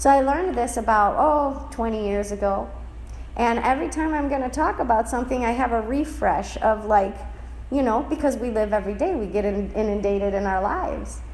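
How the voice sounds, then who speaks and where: A woman's fairly high voice at a fairly quick pace, ordinary pitch variation, audible room echo. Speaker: spiritual teacher. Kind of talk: lecture.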